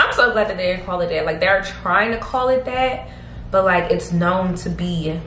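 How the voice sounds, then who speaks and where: A woman's speech carries audible room echo, with light background noise behind it. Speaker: beauty vlogger. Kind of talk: casual vlog chat. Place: home room. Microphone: phone near.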